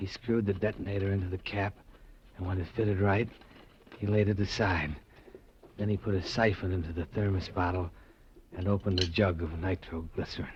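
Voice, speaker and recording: The voice is somewhat breathy, with fairly even intonation at a fairly quick pace. Long, frequent pauses break up the speech. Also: man, very deep, low pitch for a man. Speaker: radio drama actor. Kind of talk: radio drama first-person narration and acting.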